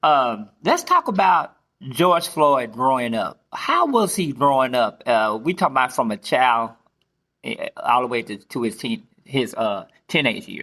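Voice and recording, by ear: A man's fairly slow, bright and sharp voice at medium pitch, with big pitch swings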